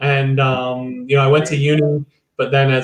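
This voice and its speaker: At a fairly quick pace, a man with a slight Chicago accent speaks in a somewhat breathy, fairly high voice with monotone, flat intonation. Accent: slight Chicago American. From US Midwest, Chicago. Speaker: church leader. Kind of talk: interview.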